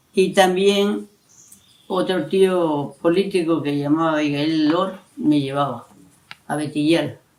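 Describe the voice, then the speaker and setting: A man's fairly high-pitched voice at a very slow pace, with ordinary pitch variation. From coastal Ecuador, Manabí (San Isidro). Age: 70s. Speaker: elderly local resident interviewed. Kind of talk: oral history interview. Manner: halting, with repetitions.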